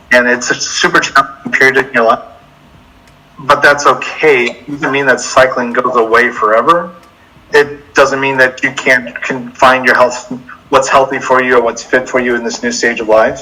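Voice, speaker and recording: Speaking in an American accent, a man uses a medium pitch and fairly even intonation. He keeps a moderate pace over noticeable background noise. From Mississippi, US South. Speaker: cyclist and middle school teacher. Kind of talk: interview.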